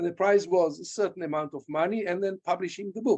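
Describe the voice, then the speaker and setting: A man talks in a high pitch with ordinary pitch variation. The background is quiet. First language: Hebrew and German. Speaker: archaeology professor. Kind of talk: Q&A after lecture. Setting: video call. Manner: halting. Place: home room. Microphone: webcam.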